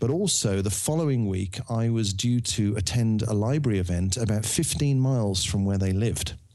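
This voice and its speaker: A man with a Birmingham accent speaks in a dark, mellow tone at a fairly low pitch, with ordinary pitch variation, very even loudness and hardly any pauses. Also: moderate pace. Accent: Birmingham (Brummie). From Birmingham, England. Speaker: novelist. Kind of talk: interview.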